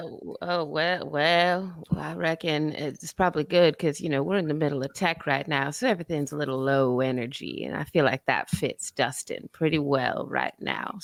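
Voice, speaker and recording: A put-on character voice, gravelly and middle in pitch, moves along at a moderate pace. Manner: low energy.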